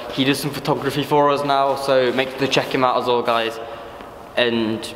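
There is audible room echo and light background noise as a man talks at a moderate pace with monotone, flat intonation. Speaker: urban explorer vlogger. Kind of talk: casual vlog chat. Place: factory. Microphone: phone near.

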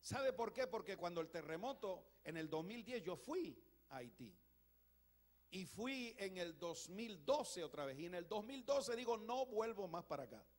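A man talks in a high voice at a moderate pace. His pitch swings very widely. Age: 60s. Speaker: pastor. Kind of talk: sermon. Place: church. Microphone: handheld.

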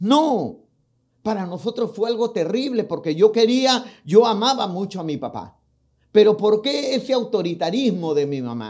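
Over a quiet background, a man speaks at a high pitch and a fairly slow pace with lively intonation. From Peru. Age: 60s. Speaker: pastor. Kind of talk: testimony. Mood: emotional personal testimony. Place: studio. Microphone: studio mic.

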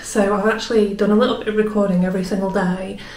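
A woman speaks with monotone, flat intonation, and room echo can be heard. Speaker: artist vlogger. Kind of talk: casual vlog chat. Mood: warm, cheerful. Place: home room. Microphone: phone near.

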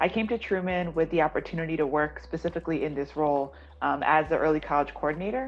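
A woman speaks at a very fast pace. Her pitch is fairly low, with ordinary pitch variation. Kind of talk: interview answer. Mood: warm, positive. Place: home room. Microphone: video call.

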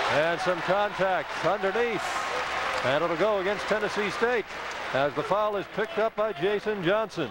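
A man's high-pitched voice at a fairly slow pace, with ordinary pitch variation and very even loudness, dry with no echo, crowd noise in the background. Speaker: radio play-by-play announcer. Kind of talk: live sports commentary, play-by-play. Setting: arena broadcast of a basketball game. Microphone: headset.

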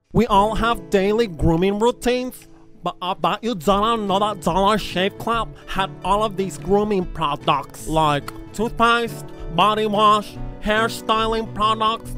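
Over faint background music, a man talks in a raised, projected voice at a fairly slow pace, with ordinary pitch variation and a dry sound with no echo. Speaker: comedy youtuber. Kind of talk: comic sponsor ad read.

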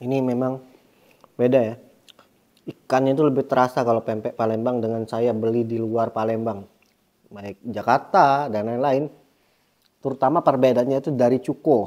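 Over a quiet background, a man with a dark, mellow tone talks at a moderate pace with fairly even intonation and long, frequent pauses. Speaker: food vlogger. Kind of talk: casual food vlog chat. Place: home room. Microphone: phone near.

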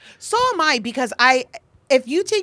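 This voice belongs to a woman. She speaks in an American accent. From Texas, San Antonio; Texas. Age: 30s. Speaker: comedian and performer; comedian. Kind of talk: casual chat. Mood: relaxed, joking, lively. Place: studio. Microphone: handheld.

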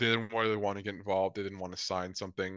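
With a bright, sharp tone, a man speaks in a monotone, flat intonation, the sound dry and without echo. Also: quiet background. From born in Colombia, raised mainly in Lethbridge, Alberta; Alberta, Canada. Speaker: socialist activist and former election candidate; interview guest. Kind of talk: interview. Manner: casual, many filler words. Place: home room. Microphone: video call.

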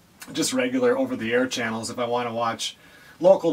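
The speaker is a man. He goes at a very fast pace over light background noise. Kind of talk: casual vlog chat. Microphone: camera far.

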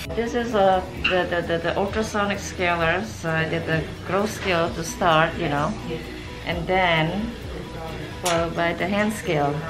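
Clear music plays in the background as a woman speaks with long, frequent pauses. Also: moderate pace. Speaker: dental hygienist. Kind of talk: explaining a dental cleaning to patient. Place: office.

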